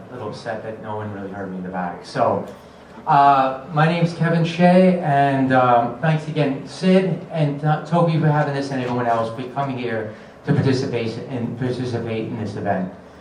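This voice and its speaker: A medium-pitched man with an American accent talks at a fairly quick pace with lively intonation and big swings in loudness, amid audible room echo and noticeable background noise. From Long Island, New York. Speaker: political candidate. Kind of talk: candidate forum speech. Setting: public forum with audience. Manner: halting.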